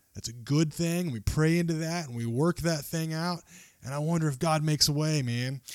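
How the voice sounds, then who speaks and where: On a very clean recording with a silent background, a man speaks at a fairly quick pace. His delivery has ordinary pitch variation. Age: 30s. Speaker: podcast host. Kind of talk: casual chat.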